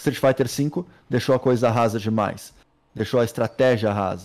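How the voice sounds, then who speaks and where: A man's voice with fairly even intonation. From Brazil. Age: 30s. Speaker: pro gamer. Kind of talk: casual chat. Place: home room. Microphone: studio mic.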